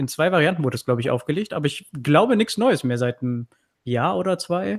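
A man with an unremarkable speaking voice moves at a fairly quick pace, his intonation lively. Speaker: tech YouTuber, podcast co-host. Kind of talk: casual chat. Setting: live online stream with remote co-hosts.

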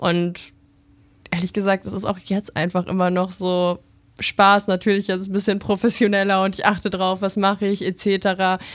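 At a moderate pace, a woman talks at medium pitch in a monotone, flat intonation, captured in a very clean recording with a silent background. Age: 20s. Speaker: TikTok content creator and model. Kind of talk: interview. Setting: radio studio.

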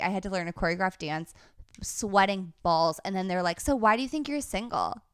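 In an ordinary speaking voice, a woman talks at a medium pitch. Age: 30s. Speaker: comedian. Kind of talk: casual chat.

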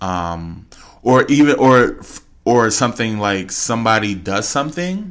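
Speaking at a fairly slow pace, a man has a medium pitch. His voice makes very wide pitch swings and big swings in loudness. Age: 20s. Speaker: podcast co-host. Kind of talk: casual chat.

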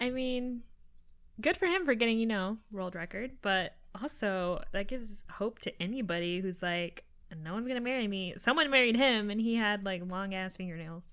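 Speaking in an unremarkable speaking voice, a woman uses a fairly high pitch with ordinary pitch variation. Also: moderate pace. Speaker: podcast co-host. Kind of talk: casual chat.

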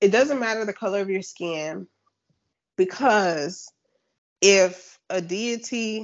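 At a very slow pace, a woman talks with medium pitch and ordinary pitch variation. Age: 30s. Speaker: funeral director. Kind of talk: casual chat.

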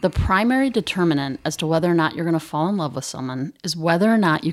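Talking at a very fast pace, a woman with an American accent and a fairly low pitch uses lively intonation on a very clean recording with a silent background. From Chicago, US Midwest. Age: 40s. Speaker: company president and CEO. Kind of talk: casual interview chat. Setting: studio.

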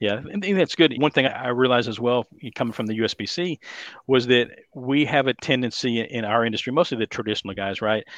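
The speech moves at a fairly quick pace with ordinary pitch variation. The background is quiet, and the sound is dry and close with no echo. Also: man, medium pitch for a man. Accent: Texas. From Dallas, Texas. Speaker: bowling industry consultant. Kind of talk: casual interview chat.

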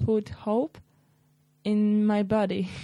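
A woman with a Polish accent at a very slow pace, fairly high-pitched with a dark, mellow tone, in a dry, close sound with no echo and a quiet background. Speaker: former volleyball player. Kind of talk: interview.

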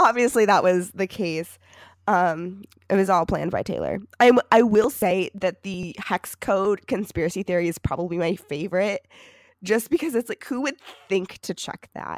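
In an American accent, an ordinary speaking voice moves at a moderate pace with ordinary pitch variation and a dry, close sound with no echo. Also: woman, medium pitch for a woman. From Michigan, US. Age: 20s. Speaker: podcast co-host, college student. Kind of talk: casual chat.

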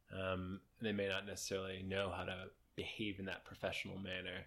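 This is a man with a normal speaking voice and a fairly low pitch, talking at a moderate pace. The recording is very clean, with a silent background. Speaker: podcast co-host. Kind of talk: casual banter, sports podcast.

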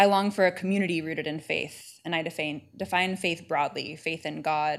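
In a very clean recording with a silent background, a woman with a normal speaking voice and an American accent speaks at a moderate pace, her pitch fairly low with ordinary variation. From California. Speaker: divinity student presenting a paper. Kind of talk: paper presentation.

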